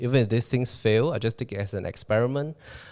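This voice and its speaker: In a very clean recording with a silent background, a man with a Chinese accent talks with ordinary pitch variation. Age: 30s. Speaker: real estate agency founder. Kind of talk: podcast interview. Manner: hesitant, many fillers.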